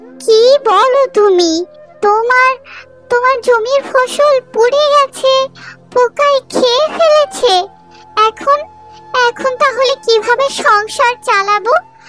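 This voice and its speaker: A cartoonish character voice at a very slow pace, with faint music in the background. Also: woman, extremely high pitch for a woman. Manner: sharp, scornful.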